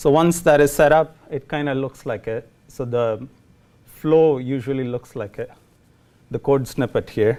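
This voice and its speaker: Speaking at a fairly slow pace with a Tamil Indian accent, a man has a fairly high pitch, fairly even intonation and a dark, mellow tone. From India, Chennai. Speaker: programmer giving a lightning talk. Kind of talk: tech talk to a meetup audience. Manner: hesitant, many fillers.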